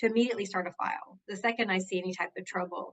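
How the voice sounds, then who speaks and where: Fairly quick speech in a Southern US accent, with ordinary pitch variation. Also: woman. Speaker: workplace justice advocate. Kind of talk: interview. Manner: conversational.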